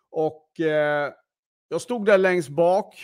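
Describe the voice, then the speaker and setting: A man is speaking. The recording is very clean, with a silent background. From western Sweden, Gothenburg area. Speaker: podcast host, sales entrepreneur. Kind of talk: unscripted personal monologue. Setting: live stream. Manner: hesitant, many fillers.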